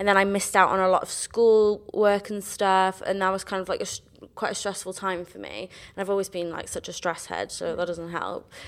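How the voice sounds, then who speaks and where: A woman with a South Wales accent talks at a fairly quick pace and medium pitch. Her intonation is monotone and flat, with big swings in loudness. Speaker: musical theatre graduate. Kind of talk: casual chat.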